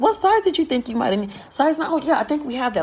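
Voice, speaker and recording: Against noticeable background noise, a woman's voice makes very wide pitch swings. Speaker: vlogger. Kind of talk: casual storytelling monologue. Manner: sounds like yelling even in normal talk; animated.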